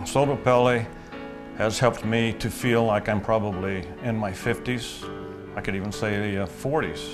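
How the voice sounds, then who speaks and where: A man's fairly low voice at a moderate pace, with ordinary pitch variation and clear music in the background. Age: 70s. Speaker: rancher. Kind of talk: customer testimonial. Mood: confident, upbeat. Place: office.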